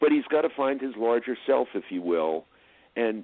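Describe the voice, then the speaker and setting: A man with a New Jersey accent at a medium pitch and a moderate pace. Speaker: film producer and director. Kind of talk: interview.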